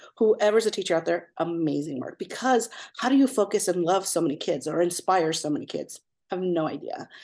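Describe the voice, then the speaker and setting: With an American accent and lively intonation, a woman in an unremarkable speaking voice of medium pitch talks at a fairly quick pace against a quiet background. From Southern California. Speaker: pediatric ECMO nurse. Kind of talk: casual interview.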